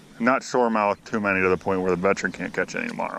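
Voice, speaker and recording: The voice belongs to a man. Noticeable background noise is present. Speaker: fishing vlogger. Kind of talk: casual vlog.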